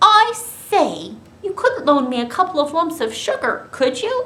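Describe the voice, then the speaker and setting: A put-on character voice jumps through very wide pitch swings at an extremely high pitch. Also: moderate pace. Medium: read story. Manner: polite, proper.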